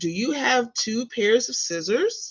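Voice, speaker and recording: A female-sounding put-on character voice speaks at a fairly high pitch and a fairly slow pace. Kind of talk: bedtime story. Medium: read story.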